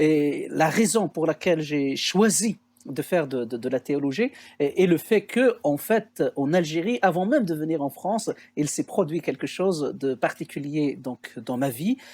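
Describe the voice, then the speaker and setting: A man's fairly high voice at a fairly slow pace with lively intonation, dry and close with no echo, on a very clean recording with a silent background. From Algeria, Kabylie (Béjaïa region). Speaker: theologian and researcher. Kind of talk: podcast interview testimony. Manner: hesitant, many filler sounds.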